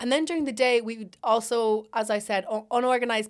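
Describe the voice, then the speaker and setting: A woman's fairly high voice in an Irish accent, fairly even in intonation, on a very clean recording with a silent background. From Ireland. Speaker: university student. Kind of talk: casual chat.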